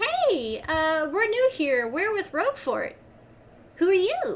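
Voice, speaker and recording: A woman's squeaky, put-on character voice at an extremely high pitch, swinging very widely in pitch at a fairly slow pace. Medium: actual play. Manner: friendly, chatty.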